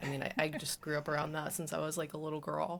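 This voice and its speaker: A woman with a slight Southern US accent speaks in a very deep, low voice with a bright, sharp tone. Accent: slight Southern twang, stronger at home. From US South, South Texas, between Corpus Christi and Houston. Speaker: automotive photographer. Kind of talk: casual chat. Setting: podcast interview.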